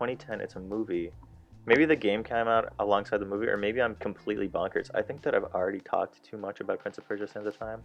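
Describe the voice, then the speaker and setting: There is music in the background. A man speaks at a very fast pace. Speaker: gaming youtuber. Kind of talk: gameplay commentary. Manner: mumbling; halting.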